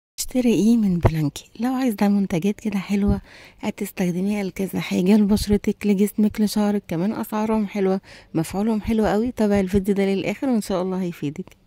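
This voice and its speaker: Speaking at a fairly quick pace with hardly any pauses, a woman of medium pitch has a dark, mellow tone and fairly even intonation, in a dry, close sound with no echo. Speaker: beauty and shopping vlogger. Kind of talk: product review vlog. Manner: quiet voice; chatty, conversational.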